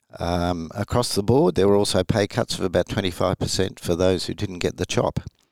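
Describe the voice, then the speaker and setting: A man with an Australian accent talks at a moderate pace with a fairly low pitch. The recording is very clean, with a silent background and a dry, close sound with no echo. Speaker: retired rear admiral. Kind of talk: interview, historical account.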